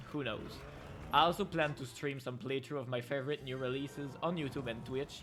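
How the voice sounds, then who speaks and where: The speaker has a French Canadian accent. Music plays in the background. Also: man. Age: 20s. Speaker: gaming YouTuber. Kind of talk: channel intro talk. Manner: halting, many fillers.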